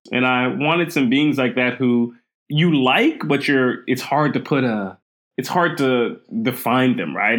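An American man with an ordinary speaking voice talks at a moderate pace. His pitch is medium and varies in an ordinary way. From Queens, New York and Trinidad and Tobago. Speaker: speculative fiction writer. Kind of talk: casual interview.

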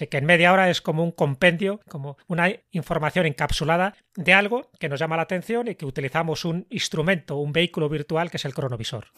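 On a very clean recording with a silent background and a dry, close sound with no echo, a man with a high pitch talks at a very fast pace with ordinary pitch variation. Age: 60s. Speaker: writer and podcast host. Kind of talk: interview.

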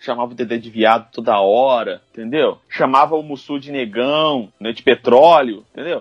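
Against a quiet background, a man speaks in a normal speaking voice at a medium pitch and moderate pace, with ordinary pitch variation, big swings in loudness and hardly any pauses. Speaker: podcast host. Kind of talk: casual chat.

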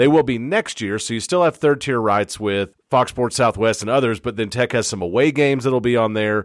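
A man in a normal speaking voice, medium in pitch with ordinary pitch variation, at a fairly quick pace with hardly any pauses, on a very clean recording with a silent background. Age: 30s. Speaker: sports podcast host. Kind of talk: casual sports chat.

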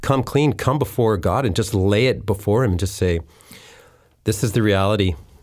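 An ordinary speaking voice from a man, fairly low in pitch with ordinary pitch variation and very even loudness, at a moderate pace in a very clean recording with a silent background. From Winnipeg, Canada. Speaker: youth ministry director. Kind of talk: casual interview. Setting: studio.

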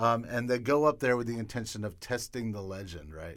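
Using an unremarkable speaking voice, a man speaks at a moderate pace with fairly even intonation. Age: 50s. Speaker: film director. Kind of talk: casual interview. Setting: studio.

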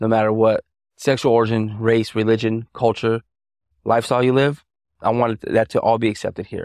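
A man with an American accent and medium pitch, fairly quick pace and monotone, flat intonation, in a dry, close sound with no echo over a quiet background. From US Southwest, El Paso Texas. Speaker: barber and shop owner. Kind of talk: interview. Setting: barbershop. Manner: casual.

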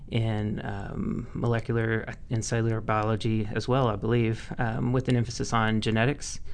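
A man speaks at a moderate pace in a medium pitch, his intonation monotone and flat, with noticeable background noise behind him. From Mississippi. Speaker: cannabis lab scientist. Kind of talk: interview.

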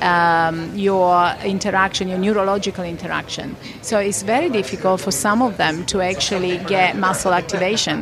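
A woman with a medium-pitched voice talks with fairly even intonation and hardly any pauses, over noticeable background noise and audible room echo. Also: moderate pace. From Italy. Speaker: Pilates and fitness trainer. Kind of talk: casual interview. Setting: conference venue with background noise.

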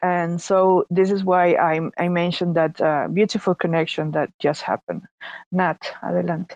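The speaker has a Spanish accent and a moderate pace. The intonation is monotone and flat, and the sound is dry and close with no echo. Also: woman, fairly low pitch for a woman, very even loudness. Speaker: artist. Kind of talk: casual live audio room chat. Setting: online audio room.

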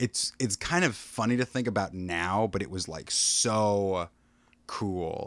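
In a Midwestern American accent, a man with a fairly low pitch and ordinary pitch variation speaks at a very slow pace in a very clean recording with a silent background. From US Midwest (Des Moines, Iowa). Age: 30s. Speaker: actor. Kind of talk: casual chat.

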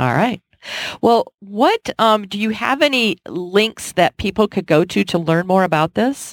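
A woman's ordinary speaking voice of medium pitch, with an American accent, lively intonation and a fairly slow pace, in a very clean recording with a silent background and a dry, close sound with no echo. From Cleveland, Ohio. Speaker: podcast host. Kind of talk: interview.

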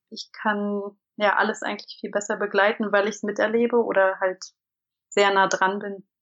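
This woman speaks at a moderate pace with a medium pitch and monotone, flat intonation. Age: 30s. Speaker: stay-at-home mother of three. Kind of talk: casual interview. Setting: internet call. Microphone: imperfect sound quality over internet call.

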